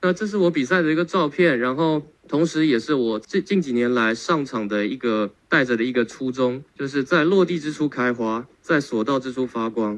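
At a moderate pace and medium pitch, a man with a plain, everyday voice speaks with ordinary pitch variation. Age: 20s. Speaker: tai chi athlete. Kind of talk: testimony.

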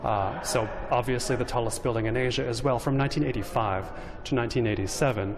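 A man at a medium pitch, very even in loudness, with noticeable background noise. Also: ordinary pitch variation, moderate pace. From Los Angeles, US West Coast. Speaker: urbanism writer and podcaster. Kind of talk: interview. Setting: on location at a skyscraper.

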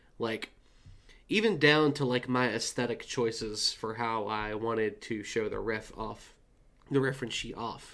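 The speaker uses an ordinary speaking voice with fairly even intonation. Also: man, medium pitch for a man, fairly slow pace. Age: 20s. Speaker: artist. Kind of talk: casual chat.

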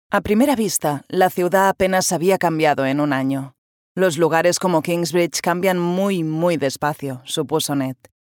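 On a very clean recording with a silent background, the sound is dry and close with no echo. A woman with a fairly low pitch speaks at a moderate pace in an animated tone, with ordinary pitch variation. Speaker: voice actress narrator. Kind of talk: dramatic narration of a historical novel, with character voices in dialogue. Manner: expressive, animated storyteller who shifts between narrator and characters.

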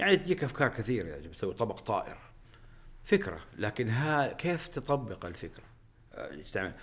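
A man's voice with vocal fry, very wide pitch swings and a moderate pace. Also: medium pitch for a man. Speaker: aerospace engineer and company executive. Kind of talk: interview conversation. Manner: halting with repetitions; frequent English code-switching.

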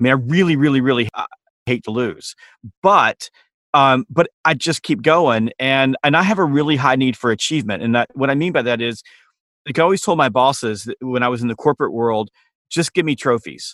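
A man with a Southern US accent, medium pitch, ordinary pitch variation and a fairly quick pace. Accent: Southern American. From US South, Georgia. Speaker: sales trainer and author. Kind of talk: interview.

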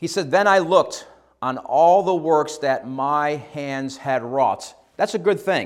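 A man with an ordinary speaking voice and an American accent, fairly high pitch, ordinary pitch variation, on a very clean recording with a silent background. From upstate New York, US. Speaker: missionary preacher. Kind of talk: sermon. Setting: church.

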